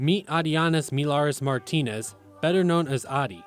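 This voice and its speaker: A man talks at a fairly high pitch, with music in the background. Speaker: multimedia journalist. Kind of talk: feature story narration.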